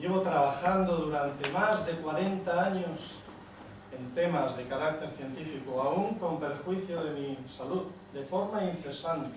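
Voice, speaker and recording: There is noticeable background noise and audible room echo. A man with a high pitch speaks at a fairly slow pace. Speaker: performer reading a comic monologue. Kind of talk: theatrical comic monologue. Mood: ironic, humorous. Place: hall. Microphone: camera far.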